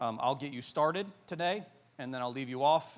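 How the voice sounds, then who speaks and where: A man speaks with an American accent amid audible room echo. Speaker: pastor. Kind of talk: sermon. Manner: casual, hesitant with many fillers.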